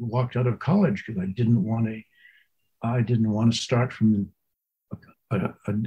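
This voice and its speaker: A man speaks in a dark, mellow tone, somewhat breathy, with fairly even intonation. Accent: American. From New England, US. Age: 80s+. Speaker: Zen master. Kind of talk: interview. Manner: halting.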